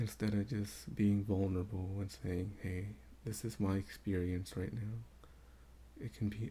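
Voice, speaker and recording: A man's very deep, low voice, dark and mellow in tone and somewhat breathy, with very wide pitch swings. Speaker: spiritual vlogger. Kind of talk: casual unscripted monologue. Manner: quieter than normal. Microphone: may not pick up his quiet voice.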